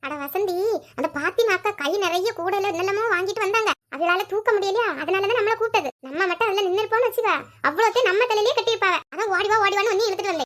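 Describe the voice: A woman uses a cartoonish character voice at an extremely high pitch, speaking at a fairly quick pace with ordinary pitch variation.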